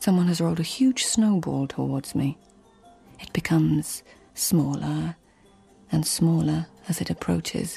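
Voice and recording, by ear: A woman uses a put-on character voice, low-pitched and dark and mellow in tone, with a husky, rough edge and vocal fry. Faint music plays in the background. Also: ordinary pitch variation, fairly slow pace.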